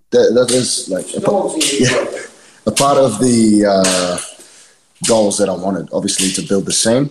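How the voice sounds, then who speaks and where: Lively intonation from a man at medium pitch, at a fairly slow pace. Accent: New Zealand. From New Zealand, East Auckland. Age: 20s. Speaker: professional wrestler. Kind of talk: casual chat.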